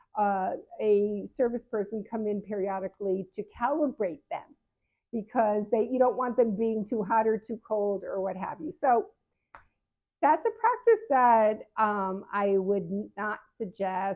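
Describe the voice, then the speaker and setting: Over music in the background, the speaker talks at a fairly slow pace with ordinary pitch variation. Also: woman, fairly high pitch for a woman. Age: 70s. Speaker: patient advocate and health coach. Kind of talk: casual advice talk to camera. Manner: conversational with frequent fillers and restarts.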